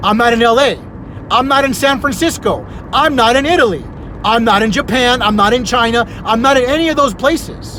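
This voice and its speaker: A man shouts in a raised, projected voice at an extremely high pitch, with ordinary pitch variation and very even loudness. His tone is animated and his pace fairly quick, with audible room echo and noticeable background noise. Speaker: community vlogger. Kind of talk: casual monologue. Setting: Facebook live video. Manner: loud, sounds like yelling.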